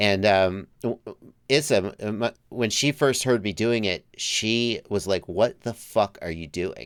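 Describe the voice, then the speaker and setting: The speech comes at a very slow pace with hardly any pauses, in an American accent. Pitch variation is ordinary. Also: man, fairly low pitch for a man. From US South, Georgia. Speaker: FPV drone YouTuber, livestream host. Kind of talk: casual chat.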